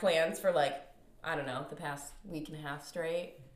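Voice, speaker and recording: Noticeable noise fills the background. A woman's voice carries over it. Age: 20s. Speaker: podcast co-host. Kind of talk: casual chat.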